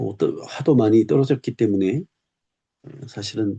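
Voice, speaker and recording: A man's somewhat breathy voice, dark and mellow in tone, moves at a fairly slow pace with ordinary pitch variation in a dry, close sound with no echo. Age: 60s. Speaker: retired teacher and YouTuber. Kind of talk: personal reflective monologue. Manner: slow, reflective.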